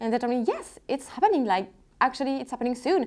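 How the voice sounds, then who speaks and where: The speaker has a French accent and ordinary pitch variation. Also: woman. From France, Lyon. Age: 20s. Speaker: luxury handbag vlogger. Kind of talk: casual unboxing vlog. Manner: halting, repetitive; excited.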